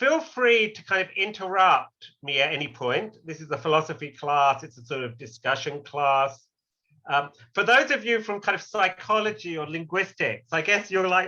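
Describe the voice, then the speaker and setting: The voice is raised and projected, with a bright, sharp tone and very wide pitch swings. It comes with an English accent. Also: man. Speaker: philosophy lecturer. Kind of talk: lecture.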